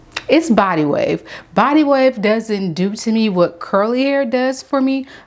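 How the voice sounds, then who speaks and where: A woman with a fairly high pitch talks at a fairly slow pace in an animated tone with lively intonation over noticeable background noise. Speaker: beauty vlogger. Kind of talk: product review tutorial. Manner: casual, animated.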